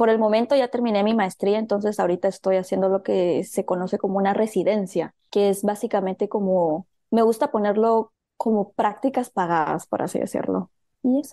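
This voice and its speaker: In a Guatemalan accent, a woman speaks at medium pitch and a fairly quick pace, with a dry, close sound with no echo and a quiet background. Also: ordinary pitch variation. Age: 20s. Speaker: medical physicist. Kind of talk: interview.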